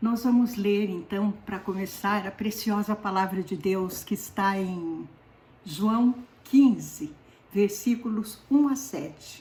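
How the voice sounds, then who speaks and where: A woman speaks very slowly at medium pitch, with ordinary pitch variation. Her voice is somewhat breathy, with a dark, mellow tone. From southern Brazil, Paraná. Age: 70s. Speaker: lay preacher. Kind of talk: sermon.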